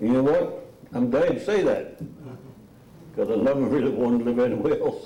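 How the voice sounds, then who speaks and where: A man with an American accent speaks at a fairly quick pace, with long, frequent pauses and very even loudness. Noticeable background noise and audible room echo are present. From southern Maryland, US. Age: 90s. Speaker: local elder speaker. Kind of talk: presentation to audience.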